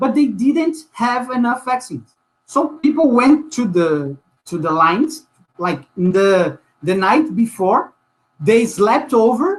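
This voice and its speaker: With a Portuguese accent, a man speaks at an extremely high pitch and a very slow pace. His pitch swings very widely. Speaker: social movement activist. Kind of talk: panel discussion. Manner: halting, many repetitions and fillers.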